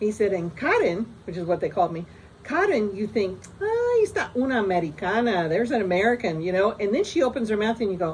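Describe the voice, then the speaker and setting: A woman speaks at a very fast pace with lively intonation. Noticeable background noise runs underneath. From US, moved around. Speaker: storyteller vlogger. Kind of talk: personal anecdote. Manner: casual, many fillers and restarts.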